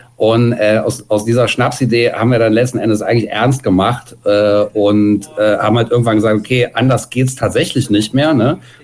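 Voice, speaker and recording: A man at a moderate pace with hardly any pauses, very even loudness, fairly even intonation, and music in the background. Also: medium pitch for a man. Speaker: punk musician. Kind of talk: interview.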